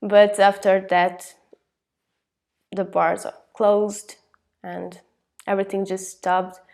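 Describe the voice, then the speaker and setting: A woman speaks at a medium pitch and a very slow pace, with long, frequent pauses. Her intonation is monotone and flat, while her loudness swings widely. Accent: Hungarian. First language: Hungarian. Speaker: Erasmus exchange student. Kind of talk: interview.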